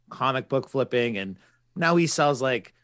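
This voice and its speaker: In a very clean recording with a silent background, a man with an unremarkable speaking voice talks at a fairly quick pace and a medium pitch. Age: 30s. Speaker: podcast host. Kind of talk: casual chat.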